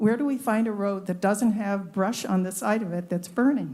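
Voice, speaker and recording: A woman speaks in a fairly high, somewhat breathy voice with a dark, mellow tone. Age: 80s+. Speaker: public commenter. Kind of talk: public comment at a government meeting.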